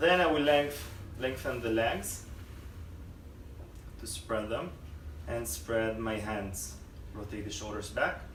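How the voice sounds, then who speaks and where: The pace is very slow, with long, frequent pauses and very wide pitch swings. Noticeable background noise sits behind the voice. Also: man, medium pitch for a man. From Israel. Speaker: yoga teacher. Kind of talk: yoga instruction. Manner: calm, slow.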